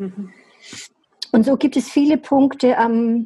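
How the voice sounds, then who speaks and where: Here a woman speaks in a dark, mellow tone. Her voice is somewhat breathy. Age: 70s. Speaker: hairdresser. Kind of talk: interview.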